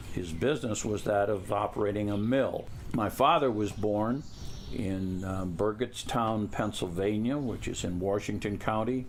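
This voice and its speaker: A man with an American accent talks at a fairly low pitch with ordinary pitch variation, and audible room echo is present. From US Midwest, Toledo, Ohio. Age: 70s. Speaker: family elder interviewed about family history. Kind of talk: oral history interview. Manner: halting, with many fillers.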